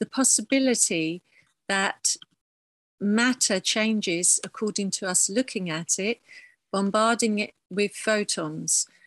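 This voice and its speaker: A woman with an English accent speaks at a fairly slow pace in a medium pitch, with ordinary pitch variation, a dry, close sound with no echo, and a quiet background. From southern England. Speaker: painter and printmaker. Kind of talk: artist talk. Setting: video call.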